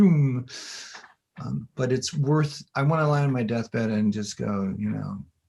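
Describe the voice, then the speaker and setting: Somewhat breathy and dark, mellow in tone, a man speaks fairly slowly at a medium pitch with lively intonation. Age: 60s. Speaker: infographics designer and former professor. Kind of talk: casual interview chat. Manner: halting, repetitive.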